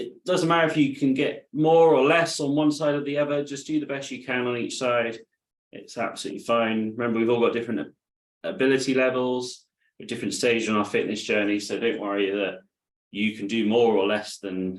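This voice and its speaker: Speaking fairly quickly in a British accent, a man shows ordinary pitch variation. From UK. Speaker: adaptive fitness instructor. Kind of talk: live online exercise class instruction. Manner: calm, encouraging.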